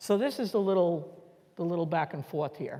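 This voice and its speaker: This woman has a fairly low pitch and a dark, mellow tone, speaking at a fairly slow pace with a New York accent. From New York City. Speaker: educator leading a workshop. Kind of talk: guided group activity instructions. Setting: conference room with live audience.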